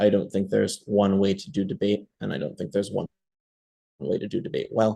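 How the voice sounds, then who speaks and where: A man with a fairly low pitch and a dark, mellow tone, plus some vocal fry. He speaks at a fairly quick pace with lively intonation. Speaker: debate coach. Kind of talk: online workshop. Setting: video call. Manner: fast.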